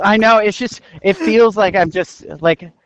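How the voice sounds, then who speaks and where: The voice belongs to a man. He speaks in an American accent. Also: quiet background. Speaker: podcast host. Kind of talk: casual chat. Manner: animated.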